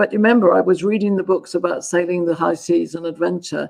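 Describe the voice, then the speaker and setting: This is a woman speaking. She has a southern English accent. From southern England, London. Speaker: gender dynamics consultant. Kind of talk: interview.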